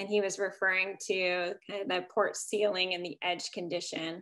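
A woman speaks at a moderate pace in a bright, sharp tone. Her intonation is flat and monotone, against a quiet background. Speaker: architect. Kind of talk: panel Q&A; slide presentation. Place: home room. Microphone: video call.

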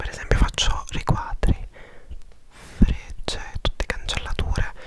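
Over noticeable background noise, a man whispers at a fairly slow pace with an intense tone. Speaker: vlogger. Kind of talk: casual vlog chat. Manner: intense close-mic ASMR whisper. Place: home room. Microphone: lapel.

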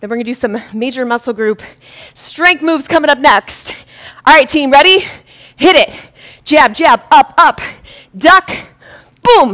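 The speaker uses lively intonation and long, frequent pauses, with a quiet background. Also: woman, high pitch for a woman, moderate pace. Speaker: fitness instructor. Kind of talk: live-streamed boxing workout class, coaching with rhythmic cues and combo calls. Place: studio.

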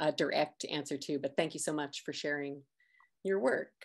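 Ordinary pitch variation runs through a woman's voice against a quiet background. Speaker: arts center director hosting event. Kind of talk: event hosting and speaker introductions. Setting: livestreamed online event. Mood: warm, friendly. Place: home room. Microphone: video call.

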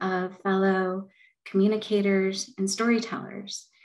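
A woman with an American accent talks against a quiet background. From Los Angeles. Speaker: communications executive. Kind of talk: personal storytelling talk. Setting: video call. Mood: warm, reflective. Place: home room. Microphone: video call.

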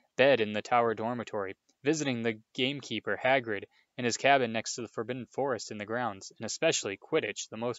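Someone reads aloud in a natural voice. Pitch varies in an ordinary way over a quiet background.

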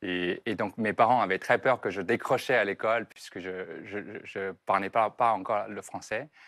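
Against a quiet background, a man with a Chinese accent speaks fairly slowly and at a fairly low pitch, with fairly even intonation and hardly any pauses. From southern China, Foshan; China. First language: Chinese (speaking French). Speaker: entrepreneur; TV guest. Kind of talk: interview. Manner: halting. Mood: calm, reflective, smiling. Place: studio. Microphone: lapel.

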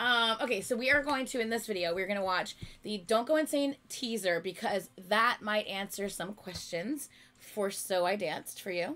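Loud and bright with a sharp tone, a woman speaks at a fairly high pitch and a moderate pace with lively intonation. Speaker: YouTube reactor. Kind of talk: casual chat. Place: home room.

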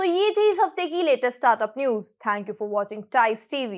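Against a quiet background, a high-pitched woman talks at a moderate pace with lively intonation. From India. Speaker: news presenter. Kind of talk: newsreading, scripted startup news bulletin. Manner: fluent Hindi-English code-mixing. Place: studio.

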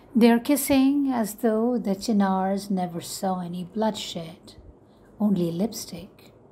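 A woman speaks at a very slow pace in a medium pitch with ordinary pitch variation. Her tone is dark and mellow and somewhat breathy. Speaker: poet reading her own poem. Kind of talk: spoken-word poetry reading, impassioned and defiant. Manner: measured, emphatic, rhythmic with repeated refrain; intense, urgent, building to a forceful final line.

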